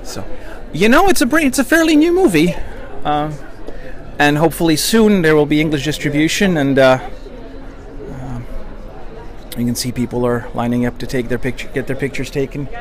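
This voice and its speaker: Crowd noise sits in the background as someone speaks at a fairly quick pace, the sound itself dry with no echo. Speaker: reporter livestreaming event. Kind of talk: casual livestream commentary. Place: street. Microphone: phone near.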